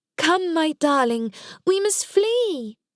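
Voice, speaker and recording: A female-sounding voice is put on as a character. It is squeaky and extremely high in pitch. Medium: read story.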